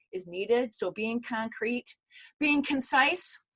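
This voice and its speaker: A woman with a fairly high pitch speaks in a normal speaking voice with ordinary pitch variation. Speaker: corporate communications consultant. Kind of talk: virtual workshop lecture. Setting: video call.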